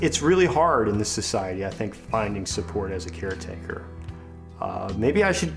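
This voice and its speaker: Clear music plays behind a man. He speaks at a moderate pace. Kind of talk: interview answer. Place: home room.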